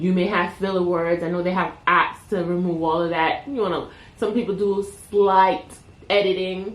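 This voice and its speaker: A woman talks at a moderate pace in a Caribbean accent. Her pitch is medium, and there's audible room echo. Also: fairly even intonation. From Caribbean, Jamaican and Panamanian heritage. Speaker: YouTuber. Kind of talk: casual unscripted talk to camera. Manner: relaxed, unedited, with filler words.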